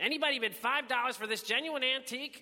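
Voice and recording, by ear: Putting on a character voice, a man talks fast at an extremely high pitch with a bright, sharp tone and ordinary pitch variation.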